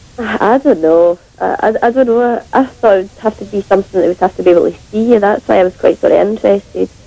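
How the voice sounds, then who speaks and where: A woman talks at a very fast pace with hardly any pauses. The sound is dry and close with no echo, but with noticeable background noise. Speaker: phone-in caller. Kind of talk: radio phone-in answers.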